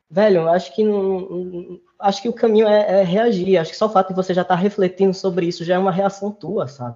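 Fairly even intonation with hardly any pauses. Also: man, high pitch for a man. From Recife, Brazil. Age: 20s. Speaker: master's student. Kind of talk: casual interview conversation. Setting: video call.

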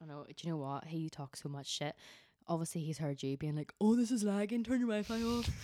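In a Northern Irish accent, a woman talks very fast with a fairly low pitch, a dark, mellow tone and very wide pitch swings, in a very clean recording with a silent background. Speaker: podcast host. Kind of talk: casual chat.

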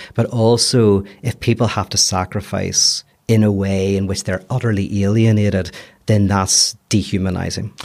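A man with a strong Belfast accent and a fairly low pitch, on a very clean recording with a silent background. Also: fairly even intonation, moderate pace. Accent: Belfast accent, kept strongly. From Belfast, Northern Ireland. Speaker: philosopher. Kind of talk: casual chat.

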